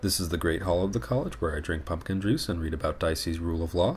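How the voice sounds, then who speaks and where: Over noticeable background noise, a man talks at a very fast pace in a very deep, low pitch. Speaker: vlogger, law student. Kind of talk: casual vlog narration.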